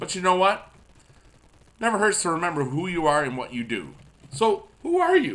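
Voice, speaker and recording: At a moderate pace, a man with a high voice speaks with very wide pitch swings. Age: 40s. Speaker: YouTube gamer and music teacher; YouTube gamer, music teacher. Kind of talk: casual gameplay commentary. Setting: at school. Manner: animated. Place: home room.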